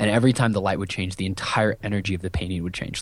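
In an American accent, a man with an unremarkable speaking voice talks at a fairly low pitch with fairly even intonation on a very clean recording against a silent background. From US Midwest, rural Iowa. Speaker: entrepreneur, business coach. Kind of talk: interview.

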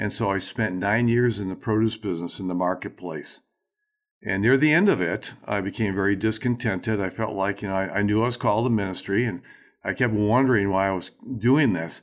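On a very clean recording with a silent background, a man with an ordinary speaking voice talks at a fairly quick pace, his pitch fairly low with ordinary variation. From Racine, Wisconsin, US Midwest. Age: 60s. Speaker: ministry leader and leadership teacher. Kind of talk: casual interview conversation.

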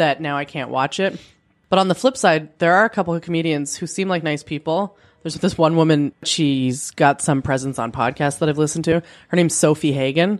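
Pitched very deep and low, a woman speaks at a fairly quick pace with ordinary pitch variation. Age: 30s. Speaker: podcast co-host. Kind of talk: casual chat. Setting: home spare bedroom with handheld mics.

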